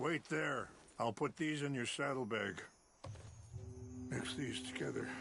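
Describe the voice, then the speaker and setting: Using a put-on character voice, a man speaks in a calm, raspy tone at medium pitch and a moderate pace, with very even loudness and long, frequent pauses. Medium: video game. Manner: calm, measured, dignified.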